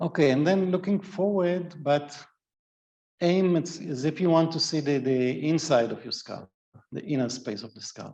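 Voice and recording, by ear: A man's voice at a moderate pace, with ordinary pitch variation, vocal fry and a slightly mellow tone. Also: fairly high pitch for a man.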